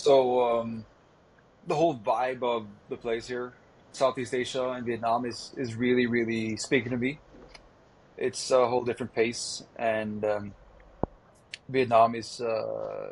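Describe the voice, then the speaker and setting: Monotone and flat, a man speaks at a medium pitch and fairly slow pace, leaving long, frequent pauses. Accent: Norwegian. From Norway. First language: Norwegian. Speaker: vegan activist. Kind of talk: podcast interview.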